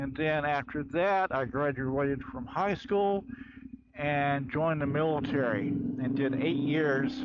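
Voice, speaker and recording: A man with an American accent and a fairly high pitch, speaking at a fairly slow pace with ordinary pitch variation against noticeable background noise. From Florida. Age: 60s. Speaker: military veteran. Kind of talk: rant vlog.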